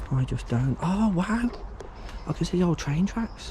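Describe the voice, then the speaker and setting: With an English accent, a man talks at a moderate pace over noticeable background noise. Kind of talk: walkaround vlog narration. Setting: outdoors. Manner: hushed at times to avoid security.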